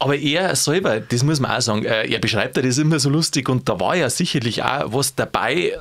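Over noticeable background noise, a man with a Bavarian accent talks fairly quickly at a medium pitch, his intonation lively. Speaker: podcast host. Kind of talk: podcast conversation.

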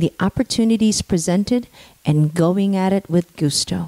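With an American accent and a normal speaking voice, the speaker keeps a moderate pace in a dry, close sound with no echo. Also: woman. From US, Filipino American. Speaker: podcast host, procurement consultant. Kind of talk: interview podcast. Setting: studio.

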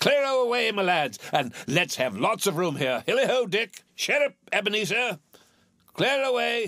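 A man puts on a character voice, high-pitched with a bright, sharp tone. His pitch swings widely and his pace is fairly slow.

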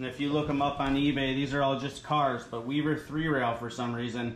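The speech moves at a fairly quick pace with flat, monotone intonation. Room echo is audible, along with light background noise. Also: man. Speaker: reseller showing a haul. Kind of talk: casual haul video commentary. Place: home room. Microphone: phone near.

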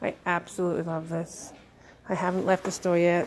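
The delivery keeps to a moderate tempo. Background music accompanies it. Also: woman. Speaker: vlogger. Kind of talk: casual vlog chat. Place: shop. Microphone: phone near.

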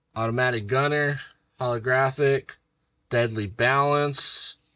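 A man's very slow voice, bright and sharp in tone, with flat, monotone intonation. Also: long, frequent pauses. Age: 30s. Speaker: gaming YouTuber. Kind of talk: card unboxing video.

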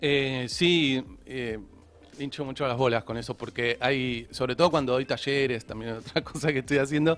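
This man speaks at a moderate pace. His intonation is fairly even. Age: 30s. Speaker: illustrator and animator; guest. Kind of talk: casual chat. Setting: studio. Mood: relaxed, friendly. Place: studio. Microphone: studio mic.

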